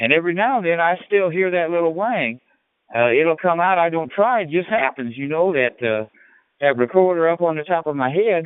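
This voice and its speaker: A man talks at a fairly quick pace in a high pitch. His intonation is lively. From Illinois. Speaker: ham radio operator. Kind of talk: casual radio chat. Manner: animated.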